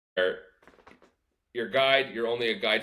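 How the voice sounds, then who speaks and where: Speaking with a Canadian accent, a man uses a plain, everyday voice. He talks at a moderate pace and a medium pitch. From Canada. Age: 20s. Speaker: fishing guide. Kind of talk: casual chat.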